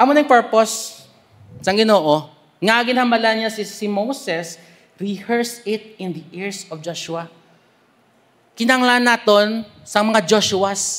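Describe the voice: Speaking slowly, a man has a high pitch, a fairly bright tone and ordinary pitch variation.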